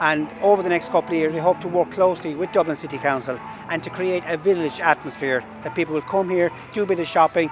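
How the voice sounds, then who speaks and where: Music plays behind a man who speaks very fast with a high pitch. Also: ordinary pitch variation. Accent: Kerry. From Ireland, Kerry. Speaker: local business owner. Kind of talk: interview.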